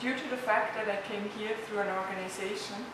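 A woman talks at a fairly quick pace. Strong room echo and noticeable background noise surround her voice. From Liechtenstein. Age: 20s. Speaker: pharmacist intern. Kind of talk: testimonial.

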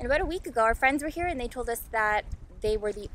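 A woman speaks at a high pitch. The sound is dry with no echo, with light background noise. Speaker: sailing vlogger. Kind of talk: casual vlog chat. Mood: cheerful, relaxed. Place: boat. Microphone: phone near.

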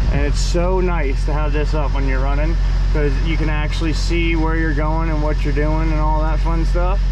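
Noticeable background noise behind speech at a fairly quick pace. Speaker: truck driver vlogger. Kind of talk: casual vlog chat. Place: car. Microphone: phone near.

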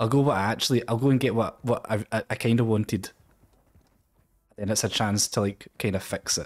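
In a dry, close recording with no echo, a man speaks with a Scottish accent at a medium pitch. His pace is fairly quick, broken by long, frequent pauses, and his intonation stays fairly even. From Scotland. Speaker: Twitch streamer. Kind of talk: casual talk while gaming on stream.

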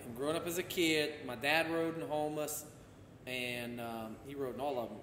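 Light background noise with audible room echo. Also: man. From Louisiana. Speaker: former state senator. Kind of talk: casual chat. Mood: relaxed, conversational. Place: home room. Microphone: camera far.

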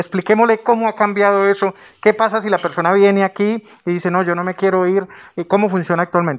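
Here is a man with a high pitch and monotone, flat intonation. He talks at a very fast pace. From Colombia. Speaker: news channel host, interviewer. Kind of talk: interview. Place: office. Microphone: handheld.

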